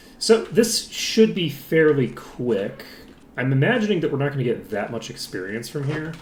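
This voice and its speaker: Pitched fairly high, a man speaks at a moderate pace with very wide pitch swings. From Ireland. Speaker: video game streamer. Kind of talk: live gameplay commentary. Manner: casual, rambling with fillers.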